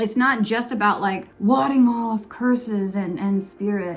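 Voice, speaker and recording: At a fairly slow pace, a woman delivers her words. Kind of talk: casual, conversational.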